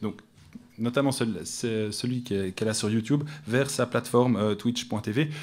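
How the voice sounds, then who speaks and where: In a very clean recording with a silent background, a man with a Swiss accent talks at a moderate pace. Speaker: academic researcher. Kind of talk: conference talk. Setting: conference room with audience. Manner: hesitant, many fillers. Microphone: too far from the microphone.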